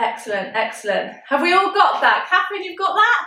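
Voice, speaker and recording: Her voice raised and projected, a woman speaks at a moderate pace in a bright, sharp tone, with audible room echo. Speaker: pole fitness instructor. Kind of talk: live online fitness class. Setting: video call. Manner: animated.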